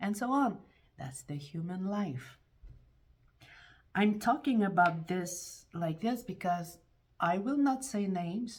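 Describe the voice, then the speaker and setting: Somewhat breathy and medium in pitch, a woman speaks at a very slow pace with long, frequent pauses. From France. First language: French. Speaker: YouTuber. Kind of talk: casual monologue vlog. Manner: halting, with repetitions and restarts; animated.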